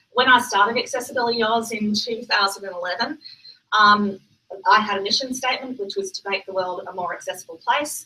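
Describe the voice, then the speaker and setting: Loudness swings widely as a woman with an Australian accent talks at a fairly quick pace in a fairly high pitch with ordinary pitch variation. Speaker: accessibility consultant, company founder. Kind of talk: conference talk. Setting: stage with audience. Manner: hesitant, many fillers.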